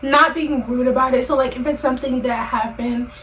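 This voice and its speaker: Over noticeable background noise, a woman with a high pitch speaks at a moderate pace in a monotone, flat intonation. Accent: American. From Maryland, USA. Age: 20s. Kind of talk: casual conversation.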